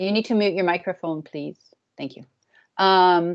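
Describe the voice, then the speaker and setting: A woman of medium pitch with an American accent, an ordinary speaking voice, fairly even intonation and a quiet background. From US. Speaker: academic program advisor. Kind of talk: orientation presentation.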